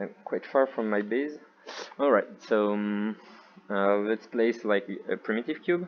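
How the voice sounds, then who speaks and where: Pausing often and at length, a man with a French accent speaks at a fairly low pitch with ordinary pitch variation. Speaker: VR developer intern. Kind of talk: software demo narration. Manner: hesitant, unfocused.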